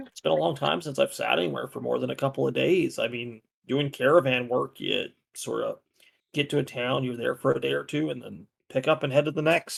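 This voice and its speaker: A man puts on a raspy character voice and talks at a fairly quick pace. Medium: actual play. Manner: hesitant, halting.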